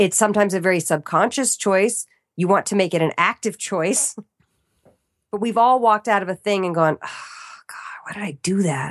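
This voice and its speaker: A woman speaks in an American accent at a moderate pace. It is an ordinary speaking voice with ordinary pitch variation. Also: medium pitch for a woman. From Arlington, Virginia, US. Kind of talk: casual interview chat.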